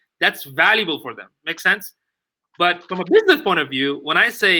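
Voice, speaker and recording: Speaking with a non-native accent, a man talks at a moderate pace. His voice is high-pitched, with a bright, sharp tone. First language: not English. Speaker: digital marketing expert. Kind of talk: casual chat. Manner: halting.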